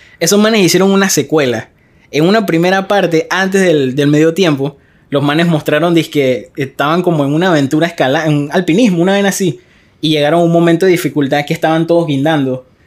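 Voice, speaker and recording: A man's fairly high voice with a Panamanian accent, at a fairly quick pace with ordinary pitch variation. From Panama, Arraiján. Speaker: podcast host. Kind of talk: casual chat. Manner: animated.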